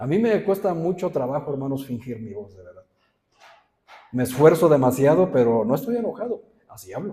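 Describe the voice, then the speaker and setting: A man's somewhat breathy voice, dark and mellow in tone, with very wide pitch swings at a moderate pace. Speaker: pastor. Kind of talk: sermon. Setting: church. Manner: serious, stern-sounding.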